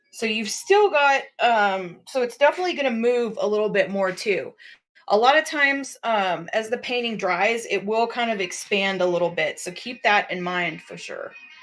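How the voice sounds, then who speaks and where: In an unremarkable speaking voice, a woman with an American accent talks at a moderate pace, her loudness swinging widely. The recording is very clean, with a silent background. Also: fairly high pitch for a woman, lively intonation. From South Texas, near Corpus Christi. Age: 40s. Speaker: live art auction host and painter. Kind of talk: live stream product demonstration. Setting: live stream.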